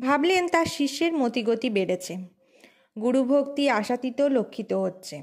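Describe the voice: The voice has a slightly mellow tone and lively intonation. Its pace is fairly slow. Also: woman, high pitch for a woman.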